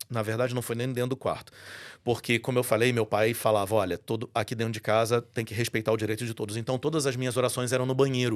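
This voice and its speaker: A man talks at a very fast pace with medium pitch. His intonation is monotone and flat, and the recording is very clean with a silent background. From Brazil, Rio de Janeiro. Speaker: voice-over announcer and church musician. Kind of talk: testimony in podcast interview.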